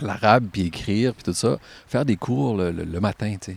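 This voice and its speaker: A man speaks in a calm tone. His pitch shows ordinary variation. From Quebec, Gaspésie (Caplan). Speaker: military veteran. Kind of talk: casual conversation. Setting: outdoors, standing in a stream.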